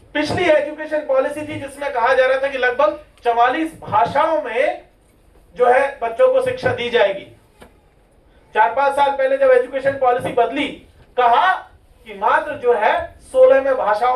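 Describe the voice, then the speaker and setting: The speech is broken by long, frequent pauses and has ordinary pitch variation. Noticeable background noise can be heard. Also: man. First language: Meeni (Meena dialect) (speaking Hindi). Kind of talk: seminar speech. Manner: impassioned.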